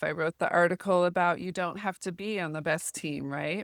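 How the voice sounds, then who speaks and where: In an American accent, a normal speaking voice moves at a moderate pace with fairly even intonation. The sound is dry and close with no echo, in a very clean recording with a silent background. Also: woman. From US, small town. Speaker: volleyball recruiting advisor. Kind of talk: informal tutorial talk.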